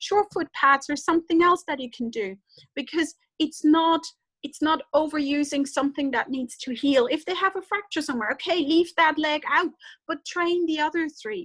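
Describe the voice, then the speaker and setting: A woman speaks with a German accent at a moderate pace, her pitch high and its variation ordinary. The sound is dry and close, with no echo. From German-speaking Europe. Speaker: veterinarian. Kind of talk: webinar lecture. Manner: halting.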